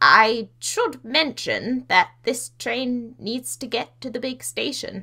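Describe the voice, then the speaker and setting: In a put-on character voice, a woman talks at a high pitch and a very slow pace with hardly any pauses. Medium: audio drama. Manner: gentle, polite.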